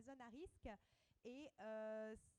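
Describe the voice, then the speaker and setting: Fairly high in pitch, a woman speaks at a very slow pace with fairly even intonation. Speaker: air quality study manager. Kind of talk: panel discussion. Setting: public round table with audience.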